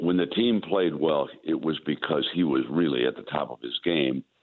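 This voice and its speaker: A man's very deep, low voice at a moderate pace. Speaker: veteran sports broadcaster, new radio play-by-play announcer. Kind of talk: interview answer about sports. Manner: conversational, with many filler words.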